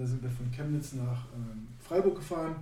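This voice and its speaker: There is noticeable background noise. Audible room echo fills the recording. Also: man. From northern Germany, Neustadt near Hannover. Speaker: basketball coach and former pro player. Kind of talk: casual chat.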